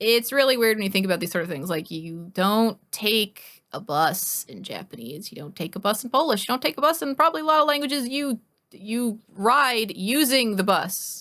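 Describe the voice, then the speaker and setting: A woman with an American accent speaks at a moderate pace in a fairly high, bright, sharp, animated voice with hardly any pauses. Her pitch swings very widely and her loudness rises and falls a lot on a very clean recording with a silent background. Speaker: streamer. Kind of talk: casual chat.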